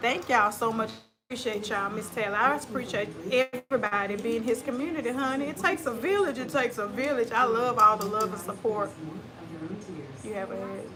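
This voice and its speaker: A woman speaks fairly quickly with a Southern US accent and a fairly high pitch. Her pitch variation is ordinary, and there is noticeable background noise. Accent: country, US South. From West Tennessee. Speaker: live streamer. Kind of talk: casual chat. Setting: livestream.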